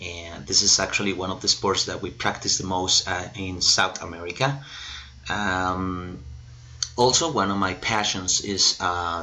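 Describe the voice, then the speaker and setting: In a Spanish accent, a man with a very deep, low pitch speaks at a fairly slow pace with ordinary pitch variation. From Colombia. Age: 30s. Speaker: English and Spanish teacher. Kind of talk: self-introduction video. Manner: hesitant, many fillers.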